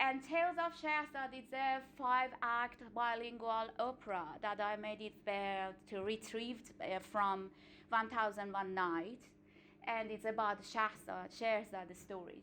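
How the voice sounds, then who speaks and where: A bright, sharp tone in an Iranian accent, delivered at a fairly slow pace with ordinary pitch variation. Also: woman, fairly high pitch for a woman. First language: Farsi. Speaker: singer and artistic director. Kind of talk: seminar talk. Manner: halting, with frequent fillers.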